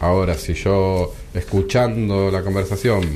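The man's voice is very deep and low, with a dark, mellow tone. He talks at a fairly slow pace. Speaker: judge. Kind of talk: radio interview.

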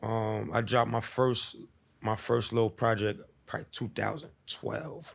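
Speaking fairly slowly, a man talks in a New York accent with vocal fry. His pitch varies in an ordinary way. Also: medium pitch for a man. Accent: New York City. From US Northeast, New York City (East Harlem). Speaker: rapper. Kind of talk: casual interview. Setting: studio.

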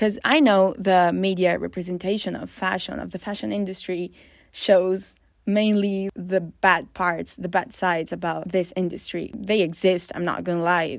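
A woman with an Italian accent at medium pitch, fairly even in intonation, at a moderate pace on a very clean recording with a silent background. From Northern Italy. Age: 20s. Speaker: podcast host. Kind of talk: casual monologue. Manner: rambling.

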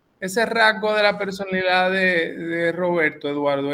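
A man speaks with a bright, sharp tone. His pitch shows ordinary variation. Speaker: radio host. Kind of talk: radio interview.

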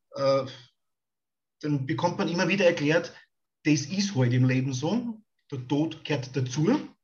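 Somewhat breathy speech comes at a fairly slow pace with audible room echo. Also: man. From Austria (Styria). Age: 40s. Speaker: podcast host. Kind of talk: interview.

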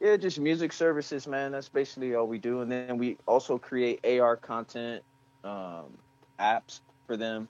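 A man with a plain, everyday voice speaks at a moderate pace in a medium pitch with ordinary pitch variation. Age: 40s. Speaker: rapper and music services entrepreneur. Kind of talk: casual interview.

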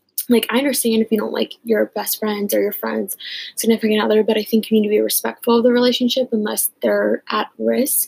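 A woman's fairly quick speech in a dry, close sound with no echo. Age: 20s. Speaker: podcast host and college student. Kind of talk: casual solo talk.

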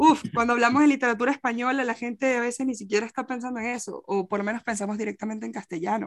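In a dry, close sound with no echo, a woman with a fairly high pitch talks at a very fast pace with fairly even intonation. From Venezuela. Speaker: poet and translator. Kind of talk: interview. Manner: halting.

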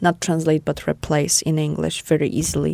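A woman speaks with a Polish accent at a very deep, low pitch. Her tone is dark and mellow. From Poland. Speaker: podcast host. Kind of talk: casual conversation podcast. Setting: small studio.

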